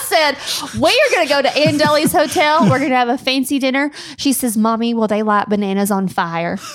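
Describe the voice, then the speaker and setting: A woman with a Tennessee accent and a high pitch speaks at a fairly quick pace with lively intonation and very even loudness, over noticeable background noise. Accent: Southern US (Tennessee). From US South, Tennessee. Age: 30s. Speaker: wedding planner, podcast co-host. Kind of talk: casual chat.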